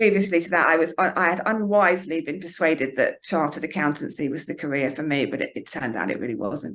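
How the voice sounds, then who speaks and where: A woman's fairly low voice at a very fast pace, lively in intonation and with hardly any pauses. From eastern England, Norfolk. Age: 40s. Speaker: fitness instructor. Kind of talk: interview. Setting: yoga studio. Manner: halting.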